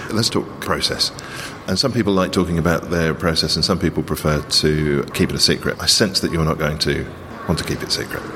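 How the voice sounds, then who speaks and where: A man's very deep, low voice at a fairly quick pace, with ordinary pitch variation, very even loudness and noticeable background noise. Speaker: podcast host. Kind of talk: conversational podcast hosting, interview. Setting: darkened gallery room during exhibition.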